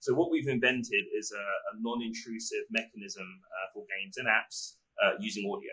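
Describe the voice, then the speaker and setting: The voice moves at a moderate pace, with big swings in loudness. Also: man. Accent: English. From London, England. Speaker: startup founder and CEO. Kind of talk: interview.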